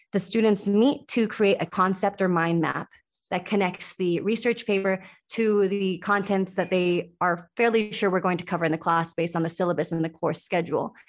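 An ordinary speaking voice with an American accent, very even loudness, a moderate pace and a quiet background. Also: woman, medium pitch for a woman. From Sweden, then US from age seven. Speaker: university faculty member in exercise science. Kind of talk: interview about teaching.

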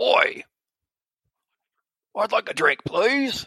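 At an extremely high pitch, the voice is a put-on character.

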